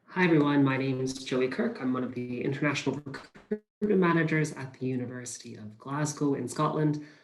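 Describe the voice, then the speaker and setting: A man in a plain, everyday voice, fairly high in pitch with ordinary variation, with an American accent, at a fairly quick pace with hardly any pauses. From US, Pennsylvania. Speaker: university recruitment manager. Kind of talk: webinar presentation.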